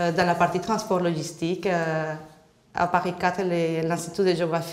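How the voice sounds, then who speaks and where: Noticeable background noise and audible room echo surround a woman with a Spanish accent who speaks slowly at a fairly low pitch. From Colombia. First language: Spanish (speaking French). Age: 30s. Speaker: job seeker. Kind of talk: job interview.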